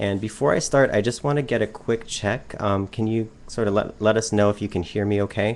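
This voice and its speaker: At a fairly quick pace, a man speaks with a fairly low pitch and fairly even intonation. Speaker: education advisor. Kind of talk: webinar presentation. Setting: online webcast. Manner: fast.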